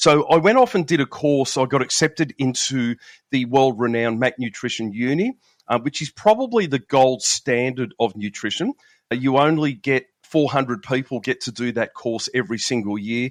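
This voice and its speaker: The speaker has an Australian accent, talking at a moderate pace with ordinary pitch variation. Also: man, medium pitch for a man. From Australia, Melbourne. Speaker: police veteran and nutrition coach. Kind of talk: podcast interview.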